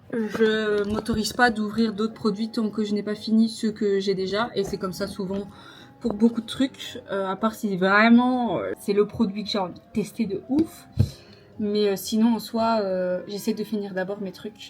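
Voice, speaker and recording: Music plays in the background as the speaker goes at a fairly slow pace in a monotone, flat intonation. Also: woman, fairly high pitch for a woman. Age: 20s. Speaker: lifestyle vlogger. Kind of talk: casual vlog talk to camera.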